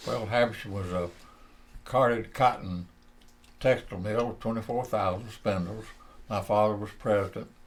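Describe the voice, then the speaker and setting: Long, frequent pauses mark a man's fairly low voice with a Southern US accent. He keeps a moderate pace. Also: fairly even intonation. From US South, northeast Georgia. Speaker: retired textile executive and Marine veteran. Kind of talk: oral history interview.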